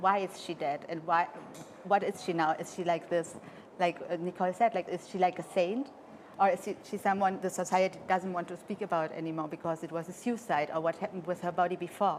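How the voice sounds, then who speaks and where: A woman talks at a fairly quick pace with a fairly low pitch. Her intonation stays fairly even. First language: French. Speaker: interpreter for the choreographer. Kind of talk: interview. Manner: halting.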